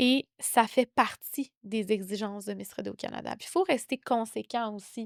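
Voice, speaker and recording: The speaker talks in a Quebec accent at a fairly slow pace with hardly any pauses, ordinary pitch variation and big swings in loudness, the sound dry and close with no echo. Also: woman, fairly high pitch for a woman, very clean recording, silent background. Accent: Québécois. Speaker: founder of a western pageant organization. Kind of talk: podcast interview. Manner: animated.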